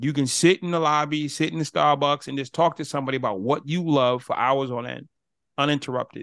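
The background is quiet as a man talks at a fairly high pitch. His pace is fairly quick, and his pitch varies in an ordinary way. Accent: American. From US Northeast, Boston. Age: 50s. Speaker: motivational speaker. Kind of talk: interview.

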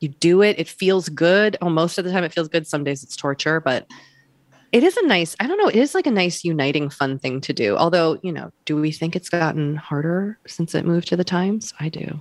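A woman with a normal speaking voice and an American accent, fairly low in pitch with ordinary pitch variation, at a fairly quick pace, in a very clean recording with a silent background. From Massachusetts, Wellesley. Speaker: author and podcaster. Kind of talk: interview.

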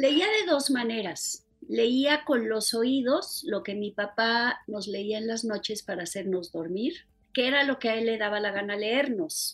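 A woman speaks in a plain, everyday voice at a fairly slow pace. Her pitch is fairly high, with lively intonation. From Mexico City. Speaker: novelist and poet. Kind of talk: interview.

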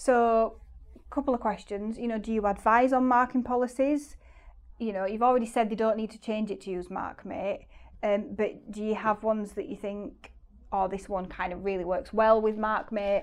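A woman's fairly high voice at a moderate pace, with fairly even intonation and a normal speaking voice. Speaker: podcast host, former teacher. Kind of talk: casual interview.

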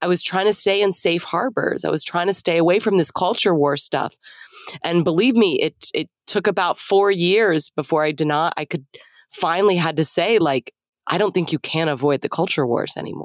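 In a normal speaking voice, a woman with an American accent talks at a moderate pace and fairly low pitch with ordinary pitch variation. The recording is very clean, with a silent background. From Texas. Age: 40s. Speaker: author and podcaster. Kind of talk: casual chat.

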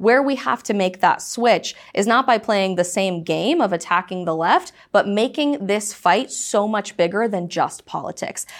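A woman's unremarkable speaking voice with an American accent, medium in pitch, lively in intonation, at a moderate pace with hardly any pauses, on a very clean recording with a silent background. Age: 20s. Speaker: conservative commentator. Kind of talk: interview.

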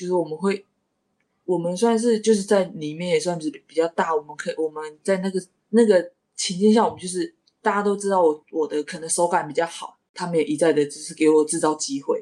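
A woman with an ordinary speaking voice talks at a moderate pace, her pitch fairly low with ordinary pitch variation. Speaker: professional basketball player. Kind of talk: casual interview.

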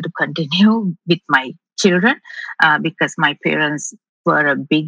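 With a very deep, low pitch and ordinary pitch variation, a woman speaks at a moderate pace, her tone bright and sharp with vocal fry. The sound is dry and close, with no echo. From Sri Lanka. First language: not English. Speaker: rocket scientist and investor. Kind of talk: interview. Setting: remote call.

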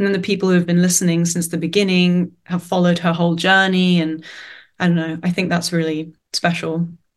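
Someone speaks at a fairly quick pace with a London accent and monotone, flat intonation. The background is quiet. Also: woman, fairly low pitch for a woman. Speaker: singer-songwriter. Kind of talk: casual interview. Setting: video call.

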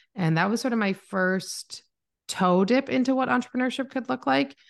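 A woman with an unremarkable speaking voice talks at a fairly quick pace. Her intonation is lively, and the background is quiet. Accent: Canadian. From Canada. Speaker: marketing mentor and agency owner. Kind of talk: casual interview chat. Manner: introverted, calm, not bubbly.

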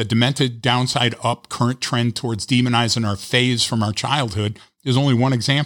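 Over a very clean recording with a silent background, a man with an unremarkable speaking voice and an American accent talks at a fairly quick pace, medium in pitch with fairly even intonation. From Detroit. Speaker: trainer and writer. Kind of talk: casual podcast conversation.

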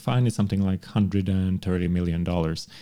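A man with a Montenegrin accent speaks at a fairly low pitch. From Montenegro. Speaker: law professor. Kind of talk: casual chat.

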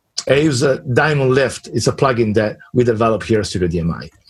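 A man speaks with an Italian accent and vocal fry. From Italy. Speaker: mixing and mastering engineer. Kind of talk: casual interview.

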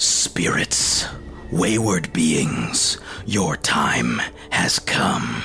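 A man whispering very slowly in a put-on character voice. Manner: menacing, declaring.

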